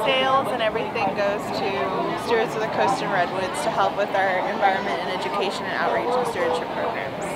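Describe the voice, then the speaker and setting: Over crowd noise in the background, a woman speaks at a very fast pace with ordinary pitch variation. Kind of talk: interview answer. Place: market. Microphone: phone near.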